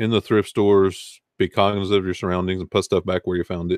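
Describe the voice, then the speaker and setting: A man with a slight Southern US accent speaks at a moderate pace in a very deep, low voice, his intonation monotone and flat against a quiet background. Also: dry, close sound with no echo. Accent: Southern US accent, mild. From US South, Arkansas. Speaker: online reseller and video host. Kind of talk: casual livestream chat. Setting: live stream with chat.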